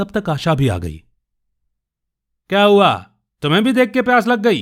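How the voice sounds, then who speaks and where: Over a silent background in a very clean recording, a man with a high pitch speaks at a moderate pace with lively intonation. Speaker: radio jockey and storyteller. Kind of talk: short story narration (audio storytelling podcast).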